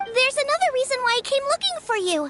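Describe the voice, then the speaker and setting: A put-on character voice, squeaky with a warm tone and extremely high pitch, rushes along at a very fast pace. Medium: video game. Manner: warm, chatty, earnest.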